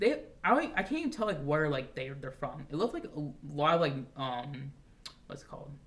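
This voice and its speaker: Against noticeable background noise, a man talks at a fairly quick pace with ordinary pitch variation. His voice is fairly high in pitch and shows big swings in loudness. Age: 20s. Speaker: podcast host. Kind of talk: casual chat. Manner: halting.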